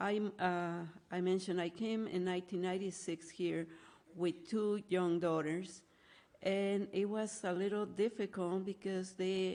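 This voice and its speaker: The voice has a dark, mellow tone and a flat monotone delivery at a fairly slow pace. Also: woman. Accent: Spanish. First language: Spanish. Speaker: nonprofit director. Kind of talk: talk.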